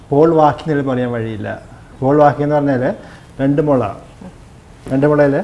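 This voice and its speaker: This man's pitch is fairly high. His intonation is monotone and flat. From Kerala, Irinjalakuda; Kerala. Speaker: oncologist; interview guest. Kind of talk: interview. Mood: warm, reflective. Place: studio. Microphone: lapel.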